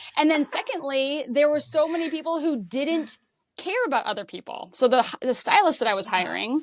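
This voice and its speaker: A moderate pace and lively intonation, in an American accent. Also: woman, high pitch for a woman. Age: 50s. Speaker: personal stylist. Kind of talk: podcast interview.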